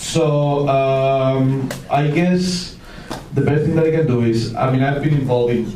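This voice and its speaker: Speaking at a fairly slow pace with ordinary pitch variation, a man with a Spanish accent is heard through audible room echo and noticeable background noise. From Spain. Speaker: 3D film expert, panel moderator. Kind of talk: panel Q&A moderation.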